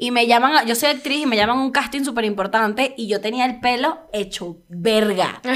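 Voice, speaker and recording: A woman talks at a fairly quick pace in a fairly high voice with ordinary pitch variation. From Venezuela. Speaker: comedian. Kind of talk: casual chat. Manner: animated.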